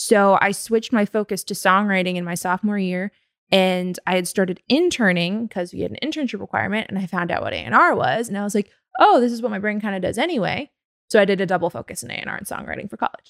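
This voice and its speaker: A woman's medium-pitched voice with a Californian accent, very fast, with ordinary pitch variation and a dry, close sound with no echo. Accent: Californian American. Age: 20s. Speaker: record label executive. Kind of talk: interview.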